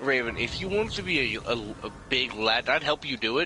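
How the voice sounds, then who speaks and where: A man with a medium pitch talks fairly quickly with lively intonation. Noticeable background noise can be heard. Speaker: gamer co-op partner. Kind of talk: casual gaming chat. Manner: animated.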